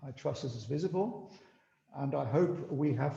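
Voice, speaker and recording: A man with vocal fry and a dark, mellow tone talks at a moderate pace in a fairly high pitch. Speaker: biotech company executive. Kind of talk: business presentation. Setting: video call.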